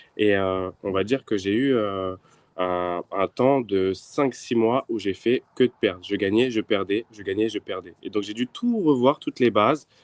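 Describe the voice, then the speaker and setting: This is an ordinary speaking voice: a man with a fairly low pitch and ordinary pitch variation. He talks at a fairly slow pace, and the sound is dry and close with no echo. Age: 20s. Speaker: trader. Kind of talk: interview.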